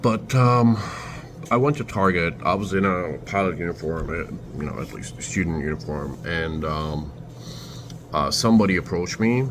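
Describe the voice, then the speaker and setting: A man's very deep, low voice with very wide pitch swings, at a moderate pace over noticeable background noise. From Turkey, Istanbul. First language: Turkish. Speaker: vlogger. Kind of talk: casual storytelling vlog. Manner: halting, many fillers.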